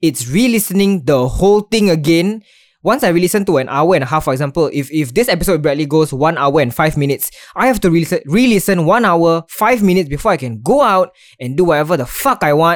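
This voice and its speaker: A man at a high pitch and very fast pace, with lively intonation. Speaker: podcast host. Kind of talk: casual chat. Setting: online call recording.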